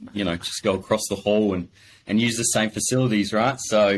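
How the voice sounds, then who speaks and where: His pace is fairly quick and his intonation fairly even. The man's pitch is fairly low. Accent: Australian. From Adelaide, South Australia. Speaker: business owner. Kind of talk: casual interview.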